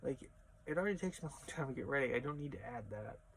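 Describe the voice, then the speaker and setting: The voice mumbles, somewhat breathy, yet with lively intonation. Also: man. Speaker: crossdressing vlogger. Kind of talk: casual vlog monologue. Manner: trails off and mumbles; practiced feminine voice that keeps slipping.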